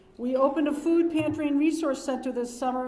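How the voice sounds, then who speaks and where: Talking at a very fast pace, a high-pitched woman uses ordinary pitch variation amid audible room echo. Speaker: dean of students. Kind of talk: ceremony speech. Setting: ceremony hall with audience. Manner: loud.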